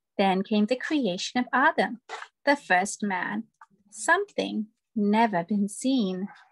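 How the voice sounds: A natural reading voice is heard against a quiet background.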